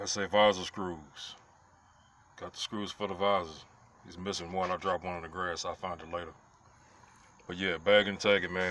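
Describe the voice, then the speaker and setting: A man's very deep, low voice with a bright, sharp tone, a moderate pace, long, frequent pauses and big swings in loudness. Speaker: car restorer. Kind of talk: tutorial. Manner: animated.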